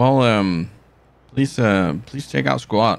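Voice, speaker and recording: A man with a relaxed tone, speaking at a very slow pace. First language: not English. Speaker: gaming streamer. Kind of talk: live gameplay stream commentary. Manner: halting, many fillers and restarts; casual, relaxed.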